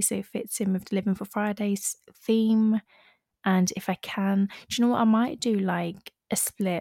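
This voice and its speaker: At a moderate pace, a woman of medium pitch speaks with a dark, mellow tone and fairly even intonation, recorded dry and close with no echo on a very clean track with a silent background. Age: 20s. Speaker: podcast host. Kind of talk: scripted intro; casual monologue.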